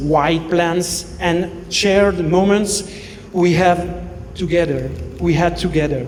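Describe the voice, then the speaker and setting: A man with a French accent speaks at a very slow pace. Noticeable background noise and audible room echo fill the recording. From Belgium. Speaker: best man. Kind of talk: wedding speech. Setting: wedding reception. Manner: halting.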